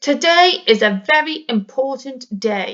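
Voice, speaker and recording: A put-on character voice delivers its lines at a fairly slow pace in a stern tone. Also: woman. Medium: read story. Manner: stern, cross.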